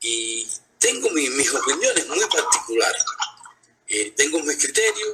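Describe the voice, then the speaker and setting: A man is speaking. His pace is fairly slow. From Cuba. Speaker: blogger and social media activist. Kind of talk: live interview. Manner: calm, conversational, even tone; hesitant, many fillers.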